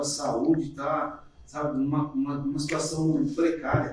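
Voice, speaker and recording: A man talks over noticeable background noise. The room echo is audible. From Jundiaí, São Paulo state, Brazil. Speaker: bus driver. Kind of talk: casual podcast conversation.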